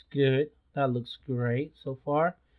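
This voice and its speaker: A man speaks with a non-native accent. His pitch sits fairly high. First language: not English. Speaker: photography youtuber. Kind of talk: tutorial. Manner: halting, many fillers; casual.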